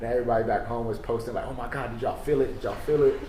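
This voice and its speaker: Recorded with audible room echo and noticeable background noise, a man speaks with an American accent. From New York. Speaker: podcast co-host. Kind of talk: casual chat. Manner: animated.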